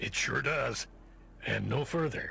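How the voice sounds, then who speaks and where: A put-on, raspy character voice from a man, with clear background noise behind it. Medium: video game. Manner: dry, wry.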